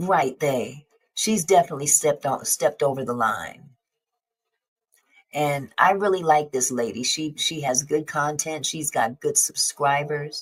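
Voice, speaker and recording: A woman speaks at a fairly slow pace with a very deep, low pitch. Her pitch varies in an ordinary way. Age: 60s. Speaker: YouTube commentator. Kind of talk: live stream discussion.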